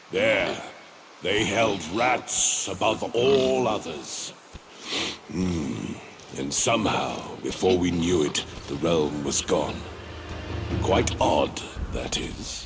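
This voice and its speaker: Over clear background noise, a man in a put-on character voice speaks very slowly at a fairly low pitch, with long, frequent pauses. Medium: video game. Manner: musing, leisurely.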